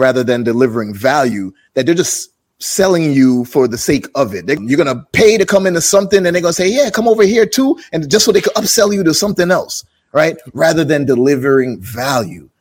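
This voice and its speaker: Energetic and very fast, a man speaks with a New York accent. His fairly high pitch makes very wide swings. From Jamaica, then Brooklyn, New York. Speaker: podcast host. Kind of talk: casual interview chat.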